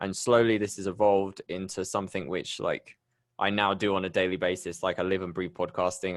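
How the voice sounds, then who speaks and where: A man with a British accent at a very fast pace, fairly low in pitch, in a very clean recording with a silent background. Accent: UK. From England, Bristol. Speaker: podcast host. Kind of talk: interview.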